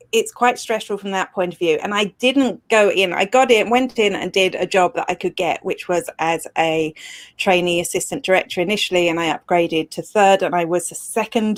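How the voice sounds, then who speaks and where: Recorded very cleanly over a silent background with a dry, close sound and no echo, a woman with a British accent speaks at a medium pitch and a moderate pace, with ordinary pitch variation and hardly any pauses. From Britain. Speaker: social media expert and blogger. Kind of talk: interview. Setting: live video show.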